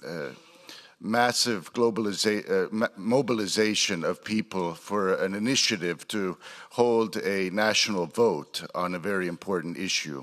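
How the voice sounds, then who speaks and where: With a Croatian accent, a man talks at a fairly slow pace. His voice is fairly low in pitch. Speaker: politician. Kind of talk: conference speech. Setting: stage with audience.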